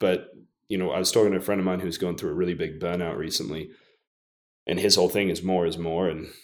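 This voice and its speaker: A man with an American accent talks very fast in a very deep, low voice. His intonation is flat and monotone. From half English, half American. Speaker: copywriter and entrepreneur. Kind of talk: casual interview chat.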